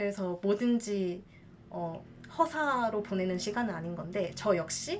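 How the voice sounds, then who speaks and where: There is noticeable background noise as a woman speaks. Her pitch is medium and her pace fairly slow. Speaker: hula dancer and teacher. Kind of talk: casual talk to camera.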